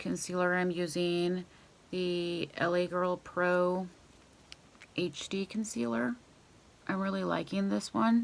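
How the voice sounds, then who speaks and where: A quiet woman with a fairly low voice speaks at a very slow pace, leaving long, frequent pauses. Her pitch varies in an ordinary way. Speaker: beauty vlogger. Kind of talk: makeup tutorial. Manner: casual.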